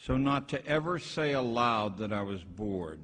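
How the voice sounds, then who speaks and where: There is audible room echo as a man talks at a fairly slow pace with an American accent. His pitch swings very widely. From western Pennsylvania, around Pittsburgh. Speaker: retired schoolteacher and education critic. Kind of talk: lecture read from a script. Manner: halting, with fillers and repeats.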